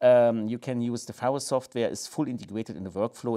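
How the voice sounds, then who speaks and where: A man with a German accent speaks at a moderate pace in a dark, mellow tone against a quiet background. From Germany. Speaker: laser scanner company presenter. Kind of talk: product review video. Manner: halting, frequent fillers. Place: office.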